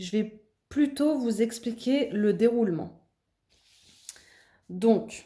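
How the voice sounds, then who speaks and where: A woman talks very slowly in a fairly high pitch. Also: ordinary pitch variation. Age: 30s. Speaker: meditation vlogger. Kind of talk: explanatory talk to camera. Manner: hesitant, with fillers.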